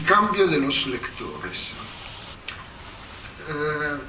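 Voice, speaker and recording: With noticeable background noise behind him, a man speaks very slowly in a fairly high voice with ordinary pitch variation. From Italy. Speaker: historian, professor. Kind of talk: academic lecture. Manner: hesitant, many fillers.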